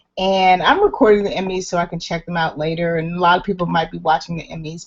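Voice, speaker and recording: Fairly low in pitch, a woman's voice moves with fairly even intonation. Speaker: online show host. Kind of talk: solo livestream talk. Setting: home, upstairs, video hangout.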